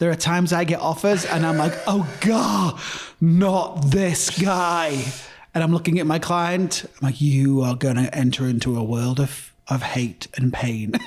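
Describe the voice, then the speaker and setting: A man with an English accent, fairly high-pitched, with ordinary pitch variation, a fairly slow pace and very even loudness. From northern England. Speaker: real estate broker. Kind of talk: casual chat.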